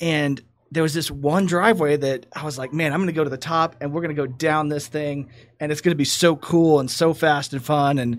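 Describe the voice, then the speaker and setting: Recorded very cleanly against a silent background, a man with a Texas accent speaks at a fairly quick pace with fairly high pitch and fairly even intonation. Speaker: guest co-host, entrepreneur. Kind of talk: casual chat. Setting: studio.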